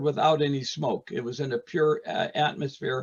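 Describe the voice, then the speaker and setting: Somewhat breathy, a man with an American accent speaks at a moderate pace in a fairly high pitch. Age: 80s+. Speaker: retired art teacher and potter. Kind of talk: casual interview. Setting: video call, audio only. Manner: animated storytelling.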